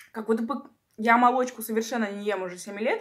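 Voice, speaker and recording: The background stays quiet while a woman speaks. Her pitch varies in an ordinary way. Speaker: eating-video creator. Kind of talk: casual vlog chat. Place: home room. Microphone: phone near.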